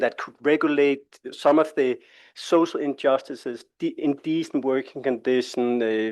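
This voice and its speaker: Speaking at a moderate pace in a Danish accent, a man uses a fairly high pitch and fairly even intonation. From Denmark. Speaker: international labour organisation expert. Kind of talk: presentation at a workshop. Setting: conference room with live audience. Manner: conversational, with filler hesitations.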